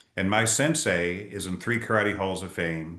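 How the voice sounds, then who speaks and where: A man's fairly low voice, bright and sharp in tone, with ordinary pitch variation and audible room echo. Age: 60s. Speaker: leadership speaker and author. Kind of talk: interview.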